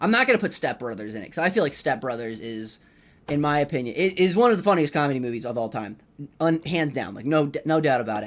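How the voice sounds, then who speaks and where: A man's fairly high voice at a very fast pace, with very wide pitch swings. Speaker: comedian and podcast host. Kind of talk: casual solo podcast monologue. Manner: loud; rambling with many false starts.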